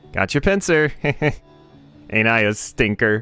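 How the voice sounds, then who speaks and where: A man's put-on character voice at a medium pitch and moderate pace, with faint music in the background. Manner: annoying, smug.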